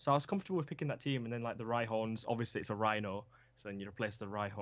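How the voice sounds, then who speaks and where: A very fast man's voice with a Yorkshire accent, medium pitch and ordinary pitch variation, on a very clean recording with a silent background. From Yorkshire, England (Huddersfield). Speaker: esports team coach. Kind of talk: casual interview. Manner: hesitant, many fillers.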